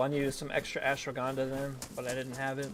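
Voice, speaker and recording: Heard through noticeable background noise, a man talks at a medium pitch. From US South. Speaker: streamer and roleplay gamer. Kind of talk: live game stream with roleplay.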